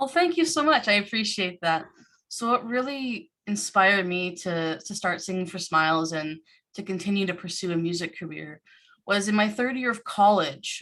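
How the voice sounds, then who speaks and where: Speaking at a moderate pace with a Canadian accent, a woman has a bright, sharp tone, a medium pitch and ordinary pitch variation. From Canada, Ontario (Burlington). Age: 20s. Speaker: musician. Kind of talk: panel discussion answer.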